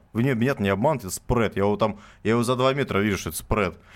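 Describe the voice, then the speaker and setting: Here a man with a medium pitch speaks very fast. The recording is very clean, the background silent. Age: 20s. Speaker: cheesemaker and farmer. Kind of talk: radio interview. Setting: radio studio.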